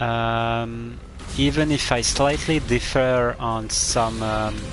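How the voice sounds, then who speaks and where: A man speaks at a very slow pace. Audible room echo and noticeable background noise surround his voice. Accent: French. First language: French. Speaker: video game streamer. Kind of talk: live gameplay commentary. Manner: halting, many fillers.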